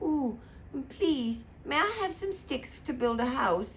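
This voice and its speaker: A female-sounding put-on character voice, high-pitched with very wide pitch swings, at a fairly slow pace over clear background noise. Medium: read story.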